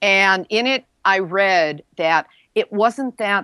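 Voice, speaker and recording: The background is quiet and the sound is dry and close, with no echo. A woman speaks at a medium pitch with ordinary pitch variation. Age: 60s. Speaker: nuclear news podcast host and author. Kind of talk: interview.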